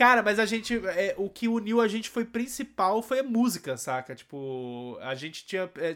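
A man talks at a moderate pace in a high pitch with very wide pitch swings and hardly any pauses. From Rio de Janeiro and Goiânia, Brazil. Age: 30s. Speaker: anime podcaster. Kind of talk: casual chat.

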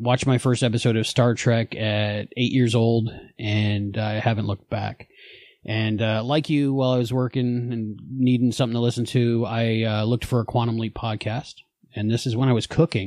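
Against a quiet background, a man with an American accent speaks at a moderate pace in monotone, flat intonation. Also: medium pitch for a man. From New Jersey, then Florida. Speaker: podcast creator, fan. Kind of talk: casual interview chat.

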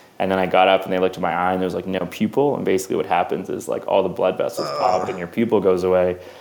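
Over noticeable background noise, a man with a Canadian accent talks at a very fast pace with hardly any pauses. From Canada, Vancouver. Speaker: filmmaker, music video director. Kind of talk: casual interview chat.

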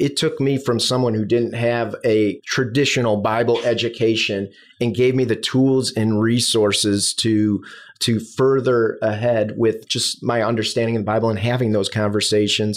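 A man talks at a medium pitch and moderate pace with a Chicago accent, his intonation fairly even and his loudness very even. The recording is very clean, with a silent background. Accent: Midwestern US, Chicago-area. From US Midwest, Chicago south suburbs. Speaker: bivocational pastor. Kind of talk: casual interview chat.

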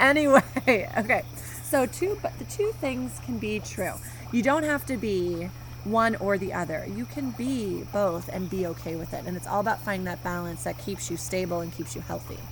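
A woman talks at a moderate pace, with noticeable background noise and audible echo from the room. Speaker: podcast co-host and therapist. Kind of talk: casual chat. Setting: outdoors by a fire.

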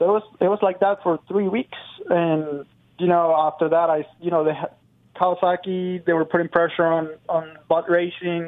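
This man talks at a moderate pace in a high pitch, with a Spanish accent, a monotone, flat intonation and very even loudness. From Venezuela. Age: 20s. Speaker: motocross racer. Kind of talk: interview.

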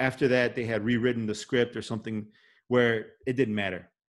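Against a quiet background, a man speaks with a Chicago accent. His medium-pitched voice moves at a fairly quick pace. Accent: Chicago American English. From Chicago, Little Village (Mexican-American neighborhood). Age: 40s. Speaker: podcast host. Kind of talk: casual chat. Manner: halting.

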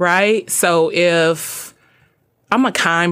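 Heard on a very clean recording with a silent background, a plain, everyday voice moves with ordinary pitch variation. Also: woman. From US South, Birmingham, Alabama. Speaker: chef and mental health advocate. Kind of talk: radio interview.

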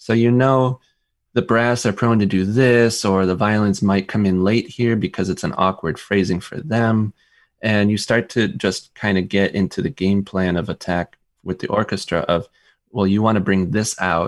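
Speaking at a moderate pace, a man with an American accent, a normal speaking voice and fairly low pitch keeps his intonation fairly even. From US, Rochester, New York. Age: 40s. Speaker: composer and conductor. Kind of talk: interview. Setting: video call.

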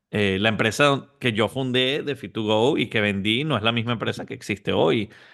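A man talks in an unremarkable speaking voice at medium pitch. His pace is moderate and his pitch varies in an ordinary way. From Venezuela. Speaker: entrepreneur and business coach. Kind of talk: interview.

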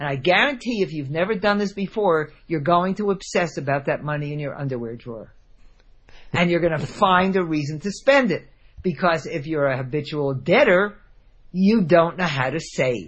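A woman's fairly low, somewhat breathy voice with an American accent and lively intonation. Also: moderate pace. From New Jersey. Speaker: money coach and author. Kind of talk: interview.

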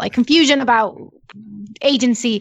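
Speaking at a moderate pace, a woman has a plain, everyday voice, a fairly high pitch and ordinary pitch variation. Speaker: podcast co-host discussing the show. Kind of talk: casual podcast discussion.

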